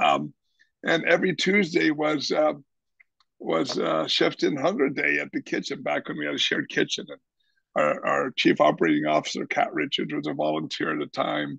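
In a quiet, dry setting with no echo, a man with an American accent talks at a moderate pace. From Kansas, US Midwest. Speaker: chef and nonprofit founder; podcast guest. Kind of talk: casual interview. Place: home room. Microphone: video call.

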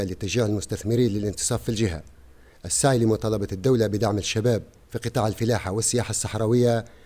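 Speaking at a fairly quick pace, a man with a medium pitch and a dark, mellow tone keeps his intonation fairly even. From southern Tunisia, Remada-Dhehiba area; Tunisia. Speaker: parliamentary candidate; candidate. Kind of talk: campaign speech. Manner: formal. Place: studio. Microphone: podium.

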